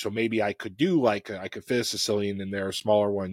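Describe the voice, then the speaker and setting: In a plain, everyday voice, a man with an American accent speaks at a fairly low pitch and a fairly quick pace, his intonation fairly even and the sound dry and close with no echo. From US Midwest, Chicago. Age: middle-aged. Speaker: cookbook author and engineer. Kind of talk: casual chat. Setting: online live stream.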